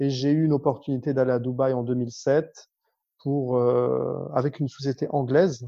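This man keeps a monotone, flat intonation. He talks at a moderate pace. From northern France, Lille. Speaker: business development manager and public speaking coach. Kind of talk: interview.

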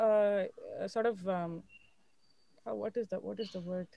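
A woman with a Tamil accent, dark, mellow tone, moderate pace. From Chennai, India. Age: 20s. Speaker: journalist. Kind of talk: interview. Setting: live stream.

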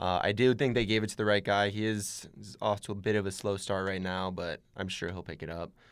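An unremarkable speaking voice with an American accent, fairly quick, fairly even in intonation, with big swings in loudness. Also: man, fairly low pitch for a man, very clean recording, silent background. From Arizona. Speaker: student radio intern. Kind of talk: casual chat. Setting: studio.

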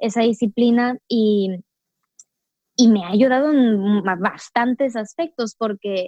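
Speaking at a very slow pace, a woman has a dark, mellow tone and a fairly high pitch, recorded with a dry, close sound and no echo. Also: ordinary pitch variation. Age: 20s. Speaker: yoga practitioner and entrepreneur. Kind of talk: casual interview.

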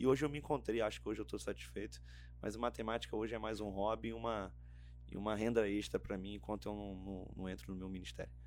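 A man with a Rio de Janeiro accent talks at a very fast pace in a very deep, low pitch, with very wide pitch swings. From Rio de Janeiro state interior, Região dos Lagos. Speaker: theology student and pastor. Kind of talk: casual interview. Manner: halting, repeats words.

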